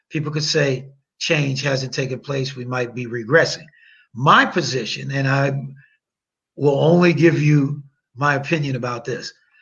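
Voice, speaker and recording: The speaker has an American accent and fairly even intonation. Long, frequent pauses break up the speech. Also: man, fairly high pitch for a man, moderate pace. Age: 60s. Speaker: attorney. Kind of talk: podcast interview. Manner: long-winded.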